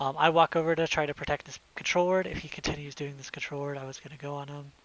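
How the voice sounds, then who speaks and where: Noticeable background noise sits behind the speaker. A man talks at a very fast pace. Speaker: gaming content creator reviewing own gameplay. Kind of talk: commentary over gameplay replay. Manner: casual with many filler ums.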